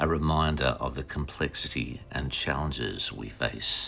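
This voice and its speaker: A man with an Australian accent speaks at a fairly slow pace in a calm tone, his very deep, low pitch carrying vocal fry. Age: 60s. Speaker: vlogger. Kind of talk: reflective vlog narration. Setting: outdoors.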